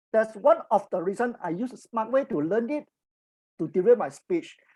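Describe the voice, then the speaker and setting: A man with a high voice talks at a moderate pace, his intonation lively and broken by long, frequent pauses. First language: not English. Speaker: club member giving impromptu speech. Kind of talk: impromptu speech. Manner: firm and steady.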